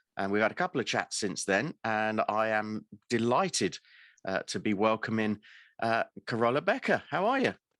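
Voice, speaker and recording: Captured in a very clean recording with a silent background and a dry, close sound free of echo, a man with a British accent speaks at a medium pitch with ordinary pitch variation. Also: moderate pace. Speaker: podcast host. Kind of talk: interview.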